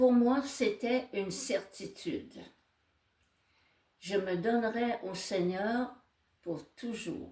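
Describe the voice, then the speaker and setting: A woman talks very slowly at a fairly high pitch. Her pauses are long and frequent. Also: ordinary pitch variation. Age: 80s+. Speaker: nun. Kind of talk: testimony.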